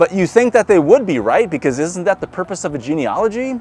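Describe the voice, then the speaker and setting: A Midwestern American accent with very wide pitch swings, music in the background. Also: man. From US Midwest. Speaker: pastor. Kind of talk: church sermon.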